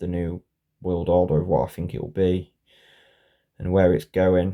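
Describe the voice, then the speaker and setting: Speaking at a moderate pace, a man with a British accent has a very deep, low pitch. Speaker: conspiracy vlogger. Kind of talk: casual monologue. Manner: halting.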